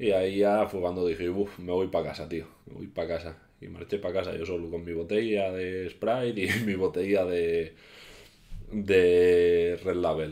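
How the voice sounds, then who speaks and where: A man with a very deep, low pitch and a dark, mellow tone speaks flatly in a monotone at a fairly slow pace. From Asturias, Spain. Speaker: YouTuber; youtuber. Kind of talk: casual vlog storytelling. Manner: halting. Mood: relaxed, anecdotal storytelling. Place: home room. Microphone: webcam.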